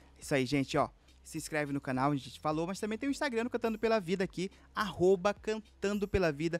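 A high-pitched male voice at a fairly quick pace, dry with no echo, faint music in the background. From Amazonas interior, Brazil. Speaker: podcast host. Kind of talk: casual interview chat. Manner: animated. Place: studio. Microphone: studio mic.

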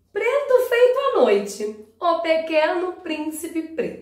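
A woman speaks at an extremely high pitch with very wide swings. Audible room echo carries over a quiet background. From Rio de Janeiro, Brazil. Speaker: teacher and storyteller; teacher, storyteller. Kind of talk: storytelling for children. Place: home room. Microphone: camera far.

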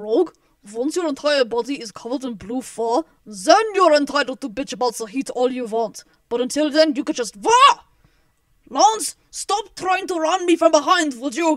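A put-on character voice at a high pitch moves along at a moderate pace. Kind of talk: fan voice acting. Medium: audio drama. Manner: sarcastic, wisecracking.

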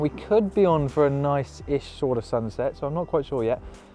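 Over music in the background, a man talks at a fairly quick pace in a dry sound with no echo. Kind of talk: casual vlog chat. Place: open country. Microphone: lapel.

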